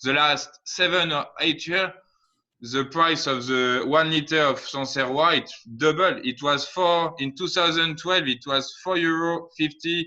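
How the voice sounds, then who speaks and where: With a French accent, a man speaks at a fairly slow pace. His pitch is fairly high and his intonation fairly even. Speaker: winemaker. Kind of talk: casual chat. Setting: video call. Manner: halting.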